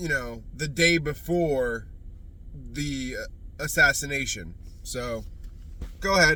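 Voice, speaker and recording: Very slow speech from a man, with long, frequent pauses and audible room echo. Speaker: commentator reacting to interview. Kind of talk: reaction commentary. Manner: loud.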